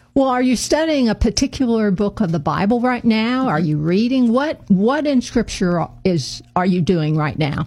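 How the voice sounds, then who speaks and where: With an American accent, a woman sounds somewhat breathy, her pitch swinging very widely while her loudness stays very even and she hardly pauses. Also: fairly high pitch for a woman, moderate pace. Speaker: radio host. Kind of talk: interview. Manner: halting with fillers.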